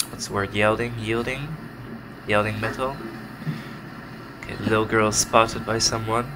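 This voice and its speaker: Monotone and flat, the speech moves at a moderate pace with long, frequent pauses against noticeable background noise. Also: man, medium pitch for a man. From Netherlands. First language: Dutch. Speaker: game developer. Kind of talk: let's play commentary. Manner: casual, hesitant.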